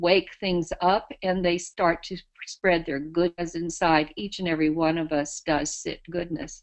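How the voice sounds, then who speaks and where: Speaking at a fairly slow pace, a woman with an American accent has a fairly low voice. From US South. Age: 60s. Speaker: spiritual advisor. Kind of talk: interview. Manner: halting.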